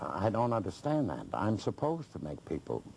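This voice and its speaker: A man's fairly slow speech with vocal fry, over light background noise. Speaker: interview guest. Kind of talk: interview answer. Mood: indignant, mocking a critic. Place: studio.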